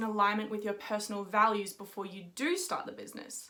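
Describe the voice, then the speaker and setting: Speaking at a fairly quick pace, a woman has an Australian accent. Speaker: podcast host, mindset coach. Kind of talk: video intro to camera; podcast interview.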